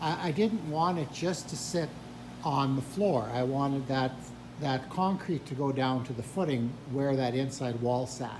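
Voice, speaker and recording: A man talks at a fairly slow pace and medium pitch, with audible room echo and noticeable background noise. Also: ordinary pitch variation. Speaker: hobby woodworker and retired teacher. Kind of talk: tutorial. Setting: workshop. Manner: hesitant, filler words.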